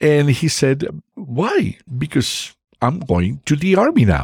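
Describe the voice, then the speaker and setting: A man with a Spanish accent makes very wide pitch swings, captured with a dry, close sound and no echo. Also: very clean recording, silent background. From Mexico. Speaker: family doctor and army veteran. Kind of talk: interview storytelling. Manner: halting with fillers.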